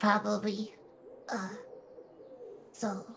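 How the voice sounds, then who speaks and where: Using a put-on character voice, a female-sounding speaker talks very slowly at a medium pitch. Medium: actual play. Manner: halting, stammering.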